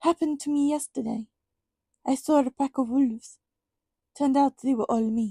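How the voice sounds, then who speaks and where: Growling in a put-on character voice, a female-sounding speaker uses a high pitch at a moderate pace with long, frequent pauses, in a very clean recording with a silent background. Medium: read story. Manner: brisk, curt.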